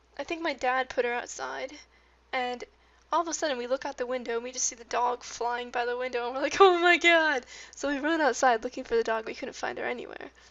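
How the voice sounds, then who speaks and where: Mumbling at a fairly quick pace, a woman talks with a high pitch and ordinary pitch variation. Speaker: gaming youtuber. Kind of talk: casual chat.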